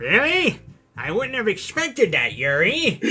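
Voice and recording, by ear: A put-on character voice, pitched fairly high, moves along at a moderate pace.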